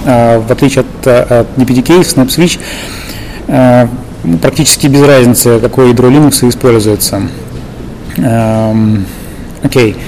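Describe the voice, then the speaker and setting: Against noticeable background noise, a man with a Russian accent and a medium pitch speaks at a fairly slow pace, with long, frequent pauses, fairly even intonation and very even loudness. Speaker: interviewer and tech lead. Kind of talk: interview.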